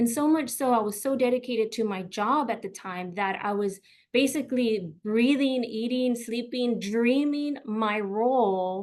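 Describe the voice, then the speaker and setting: Against a quiet background, a woman with a fairly high pitch speaks with hardly any pauses and ordinary pitch variation. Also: fairly slow pace. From US South, McAllen, Texas. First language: Spanish. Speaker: career coach. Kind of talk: webinar presentation.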